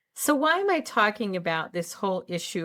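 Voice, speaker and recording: On a very clean recording with a silent background, a woman uses an ordinary speaking voice at a moderate pace with ordinary pitch variation. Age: 60s. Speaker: health psychologist and channel host. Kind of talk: casual talk to camera. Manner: earnest, conversational.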